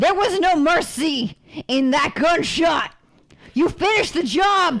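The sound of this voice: In a put-on character voice, a woman speaks slowly at an extremely high pitch with lively intonation. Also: fairly bright tone.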